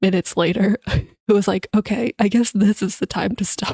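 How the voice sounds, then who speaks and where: In a dry, close sound with no echo, a woman with a medium-pitched, dark, mellow, somewhat breathy voice speaks at a moderate pace with monotone, flat intonation. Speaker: streamer. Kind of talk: casual chat.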